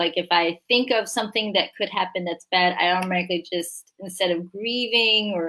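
With ordinary pitch variation, this woman talks at a fairly quick pace. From Michigan (born in Korea, adopted at 5). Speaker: author. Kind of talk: interview.

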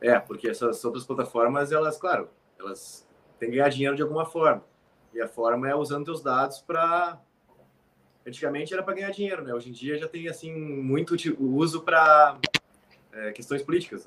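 At a fairly quick pace, a fairly high-pitched man speaks with ordinary pitch variation. He leaves long, frequent pauses, and his loudness swings a lot. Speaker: military firefighter. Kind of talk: casual chat.

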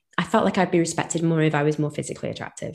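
A woman talks in an ordinary speaking voice. Her pitch is fairly low. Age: 30s. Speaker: podcast host. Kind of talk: casual chat. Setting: recording intro at workplace on coffee break.

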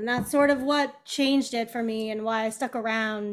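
A woman with an ordinary speaking voice talks at a moderate pace, her pitch fairly high and her intonation fairly even. The recording is very clean, with a silent background. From Kansas City. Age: 40s. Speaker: tap dancer and author. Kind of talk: casual interview.

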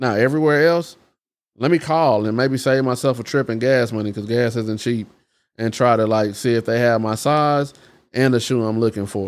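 The recording is very clean, with a silent background. In it, a man with an ordinary speaking voice talks at a medium pitch, with ordinary pitch variation. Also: moderate pace. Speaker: podcast co-host. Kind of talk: casual chat.

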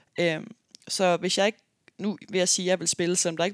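A woman talks very fast in a fairly low pitch, on a very clean recording with a silent background and a dry, close sound with no echo. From Denmark, Aarhus. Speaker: professional basketball player and podcast host. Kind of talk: casual monologue podcast. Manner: frequent filler hesitations.

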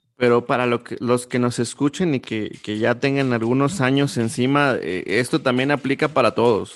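A man with an unremarkable speaking voice talks at medium pitch, his pitch varying in an ordinary way. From Mexico, Coahuila. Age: 30s. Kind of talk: casual interview.

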